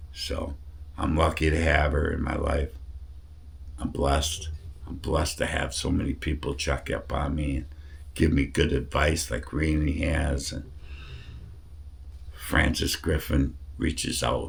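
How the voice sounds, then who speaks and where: Amid noticeable background noise, a man with a very deep, low voice talks fairly slowly in a flat monotone, taking long, frequent pauses. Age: 60s. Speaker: cancer patient vlogger. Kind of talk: casual video update.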